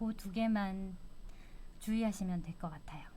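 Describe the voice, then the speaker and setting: Somewhat breathy and dark, mellow in tone, a woman speaks at medium pitch and a moderate pace. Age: 60s. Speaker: retiree. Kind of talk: interview.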